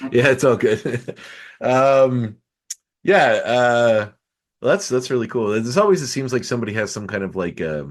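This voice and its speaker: Lively in intonation, a man talks at a medium pitch in an ordinary speaking voice. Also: moderate pace. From Canada, Nova Scotia. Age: 30s. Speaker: podcast host. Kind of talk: casual interview chat.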